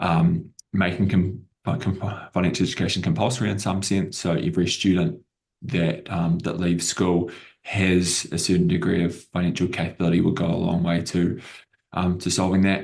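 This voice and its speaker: Speaking at a moderate pace, a man with a New Zealand accent has a very deep, low pitch and ordinary pitch variation. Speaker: edtech company CEO. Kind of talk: panel discussion.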